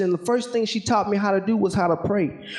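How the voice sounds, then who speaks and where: Speaking fairly quickly with a Southern US accent, a man holds fairly even intonation at a high pitch over noticeable background noise. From Alaska, later Georgia from age ten. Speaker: military helicopter pilot and motivational speaker. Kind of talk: motivational talk with spoken word poetry.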